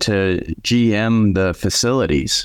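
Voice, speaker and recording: On a very clean recording with a silent background, a man with an Upper Midwest accent speaks at a medium pitch with ordinary pitch variation. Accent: Upper Midwest American. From South Dakota, Aberdeen. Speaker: restaurant franchise owner. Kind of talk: interview.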